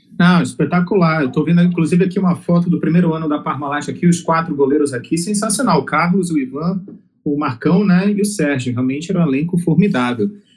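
A man with a high pitch talks at a very fast pace against noticeable background noise. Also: ordinary pitch variation. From Amazonas, northern Brazil. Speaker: podcast host. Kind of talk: podcast interview.

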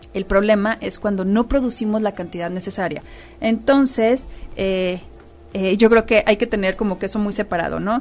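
At a moderate pace, a woman speaks in an unremarkable speaking voice at medium pitch with ordinary pitch variation. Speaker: radio host. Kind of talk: radio talk show interview.

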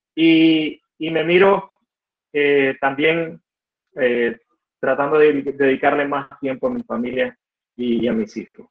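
A man at a fairly high pitch with a Nicaraguan accent, very slow, with long, frequent pauses. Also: ordinary pitch variation. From Nicaragua, Estelí (north). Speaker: computer engineer and entrepreneur. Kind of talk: interview conversation. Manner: halting, frequent repetitions.

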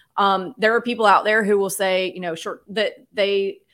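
A woman's plain, everyday voice at a medium pitch, with an American accent and fairly even intonation, on a very clean recording with a silent background. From US South. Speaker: real estate investor. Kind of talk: interview.

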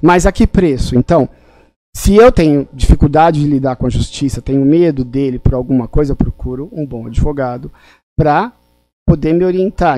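Speaking with a dark, mellow tone and ordinary pitch variation, a man keeps a moderate pace at a fairly high pitch. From São Paulo, raised by migrants from Pernambuco. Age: 50s. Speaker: family lawyer. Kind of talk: live-stream interview.

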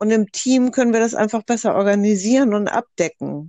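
A woman speaks in an ordinary speaking voice at medium pitch with ordinary pitch variation, recorded dry and close with no echo against a quiet background. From northern Germany, Hamburg. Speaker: doula and psychotherapy practitioner. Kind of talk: group discussion.

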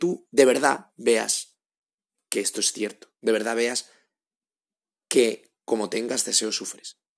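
At a fairly slow pace, a man with a medium pitch talks with vocal fry. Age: 30s. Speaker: podcast host. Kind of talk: advice monologue. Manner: halting, with frequent repetitions.

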